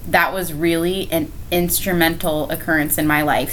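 Over noticeable background noise and audible room echo, a woman with an American accent talks at a moderate pace in a fairly low voice. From Florida, Brevard County. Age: 20s. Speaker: teacher and ministry leader. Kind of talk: casual interview. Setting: at host's home. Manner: laughs often.

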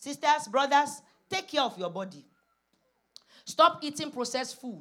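With a Nigerian accent, a woman speaks at a fairly slow pace and a high pitch, her bright, sharp tone marked by very wide pitch swings, big swings in loudness and long, frequent pauses. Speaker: preacher. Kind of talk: sermon; congregational prayer. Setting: church.

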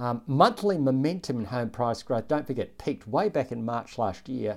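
A man talks in an Australian accent at medium pitch. His pace is fairly quick and his intonation lively. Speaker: chief economist hosting an investing podcast. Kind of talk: economic commentary monologue.

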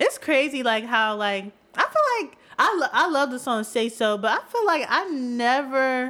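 In a raised, projected voice, a woman sounds high-pitched and bright, sharp in tone, with lively intonation and big swings in loudness. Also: moderate pace. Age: 20s. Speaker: podcast co-host. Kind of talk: casual chat.

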